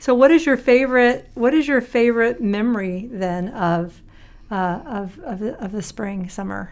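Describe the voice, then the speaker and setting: At a moderate pace, a woman speaks in a normal speaking voice, fairly high in pitch with lively intonation. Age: 50s. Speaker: church deacon. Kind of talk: casual chat.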